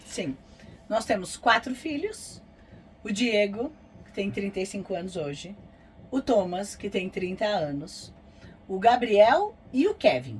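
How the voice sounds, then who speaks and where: Over noticeable background noise, a woman at medium pitch speaks very slowly, with very wide pitch swings and long, frequent pauses. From Americana, interior of São Paulo state, Brazil. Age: 50s. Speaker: vlogger, motorhome traveler. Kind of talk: casual chat.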